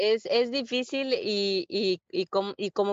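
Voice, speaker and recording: Here is a woman with a normal speaking voice. Her pitch is medium, with ordinary pitch variation. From Peru, Lima; moved to Virginia at 12. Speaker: real estate investor. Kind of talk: interview.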